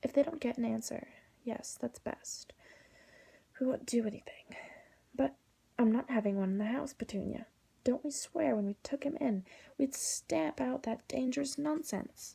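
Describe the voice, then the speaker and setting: A soft-spoken woman whispers at a moderate pace. She leaves long, frequent pauses. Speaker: ASMR artist. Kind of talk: whispered audiobook reading. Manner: whispered, soft-spoken.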